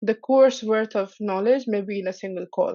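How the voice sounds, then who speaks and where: With a non-native accent, a woman talks at a fairly high pitch and with fairly even intonation. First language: not English. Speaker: Salesforce app partner professional. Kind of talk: podcast interview.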